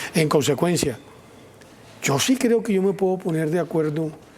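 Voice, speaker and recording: Noticeable background noise sits behind a man talking at a moderate pace. His intonation is lively. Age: 60s. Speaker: politician and columnist. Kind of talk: TV news interview.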